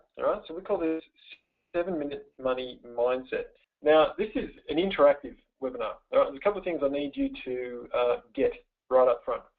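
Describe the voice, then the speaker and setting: The pace is fairly quick. This man has an Australian accent. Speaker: webinar presenter, money mindset coach. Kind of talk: webinar presentation. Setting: online webinar. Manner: fast; energetic, playful.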